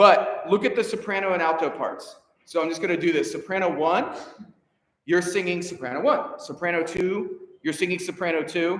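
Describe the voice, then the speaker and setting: This man has a high-pitched voice and an animated tone. His pitch variation is ordinary. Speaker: choir director. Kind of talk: rehearsal instruction. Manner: fast.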